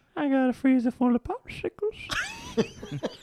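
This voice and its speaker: A put-on character voice, wheezy and high in pitch. It moves at a fairly slow pace. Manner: creepy.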